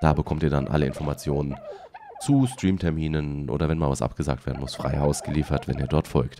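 A man speaks at a moderate pace with a very deep, low pitch and ordinary pitch variation. Noticeable background noise sits behind him. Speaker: let's play streamer. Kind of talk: casual talk to camera.

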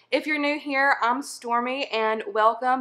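Projecting a raised voice with a bright, sharp tone, a woman talks at a moderate pace with ordinary pitch variation against a quiet background. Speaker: weight loss vlogger. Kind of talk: casual vlog chat. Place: kitchen. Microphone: phone near.

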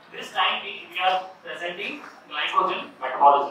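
A man's high-pitched voice at a moderate pace, with ordinary pitch variation, strong room echo and light background noise. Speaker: medical educator presenting. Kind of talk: lecture. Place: hall.

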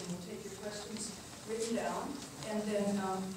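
A woman talks at a moderate pace. Noticeable background noise and strong room echo fill the recording. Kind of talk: public talk to audience. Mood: warm, appreciative. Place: meeting room. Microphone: camera far.

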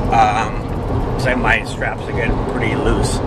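At a moderate pace, the voice comes through with a dry sound and no echo over loud background noise. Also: man. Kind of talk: casual vlog chat. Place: car. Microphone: phone near.

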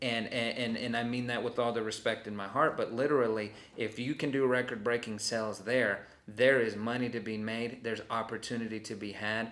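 Speaking at a fairly quick pace with hardly any pauses, a man with an American accent keeps a monotone, flat intonation. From Hobbs, New Mexico (US Southwest); New Mexico. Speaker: college training consultant. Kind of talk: interview. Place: meeting room.

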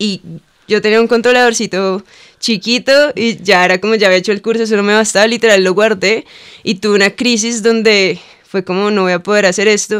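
A woman talks at a fairly quick pace in a flat monotone. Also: quiet background. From Cali, Colombia; Colombia. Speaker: lettering artist and muralist; podcast guest. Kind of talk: casual interview chat. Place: studio. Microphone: studio mic.

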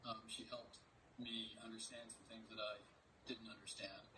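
A man is whispering. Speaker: reporter giving a keynote. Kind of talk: keynote speech introduction. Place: home room.

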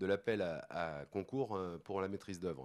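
Ordinary pitch variation in a man's very deep, low voice. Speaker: sports centre official. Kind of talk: panel discussion. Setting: conference stage with audience.

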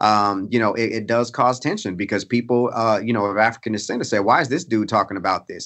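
A man with an ordinary speaking voice, medium pitch and a fairly quick pace. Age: 30s. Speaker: pastor, author and professor. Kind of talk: interview conversation.

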